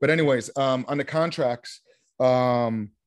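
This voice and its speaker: With a quiet background, a man's voice shows ordinary pitch variation. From Vermont, US. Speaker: real estate investor. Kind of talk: interview. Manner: animated.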